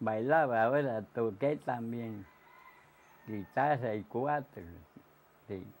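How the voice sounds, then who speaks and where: The speaker is a man, going at a very slow pace. His pitch shifts in an ordinary way. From Puerto Rico. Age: 80s+. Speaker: elderly resident recalling the past. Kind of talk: interview answer. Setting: outdoors. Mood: cheerful, nostalgic. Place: home room.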